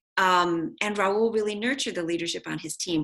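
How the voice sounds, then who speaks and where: A woman speaks at a very fast pace in a medium pitch, her bright, sharp tone edged with vocal fry. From US, immigrant family. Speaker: policy advocate and author. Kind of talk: interview. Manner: soft-spoken.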